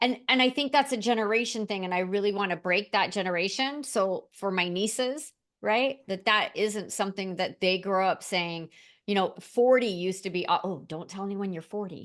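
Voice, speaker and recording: A woman talks at a moderate pace with medium pitch and ordinary pitch variation. Her tone is animated, and the background is quiet. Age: 60s. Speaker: LinkedIn and AI trainer. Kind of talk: interview conversation.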